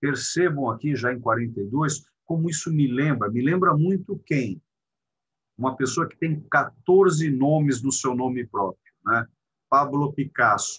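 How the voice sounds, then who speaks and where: A man with a fairly high pitch and ordinary pitch variation talks fairly slowly. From Brazil, Belo Horizonte. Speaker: art lecturer. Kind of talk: lecture. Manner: animated.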